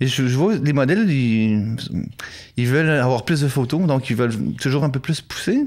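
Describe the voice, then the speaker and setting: On a very clean recording with a silent background, a man of medium pitch talks at a moderate pace with very even loudness, ordinary pitch variation and long, frequent pauses. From Quebec. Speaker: photographer. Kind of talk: interview. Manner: casual, hesitant with fillers.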